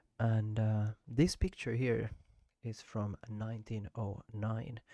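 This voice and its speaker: At a very slow pace and with fairly even intonation, a dark, mellow voice with a Swedish accent sounds dry and close, with no echo. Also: man, medium pitch for a man. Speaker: street photographer. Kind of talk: casual photo book walkthrough. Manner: halting, many fillers.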